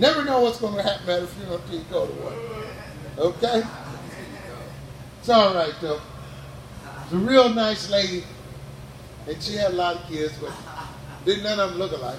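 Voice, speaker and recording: Over noticeable background noise and audible room echo, a man speaks at a moderate pace in a high voice with lively intonation and long, frequent pauses. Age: 60s. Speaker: stand-up comedian. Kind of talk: stand-up. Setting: stage with audience. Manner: animated.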